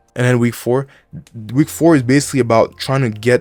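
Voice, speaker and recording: A man with a non-native accent at a very fast pace, in a dry, close sound with no echo. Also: very clean recording, silent background. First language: not English. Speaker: student giving study advice. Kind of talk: tutorial. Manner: casual, with fillers and restarts.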